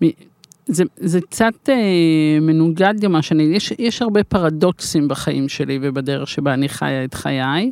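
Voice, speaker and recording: A woman's very deep, low voice with lively intonation at a fairly slow pace, in a dry, close sound with no echo. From Israel. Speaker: life coach and coaching school founder. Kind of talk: interview.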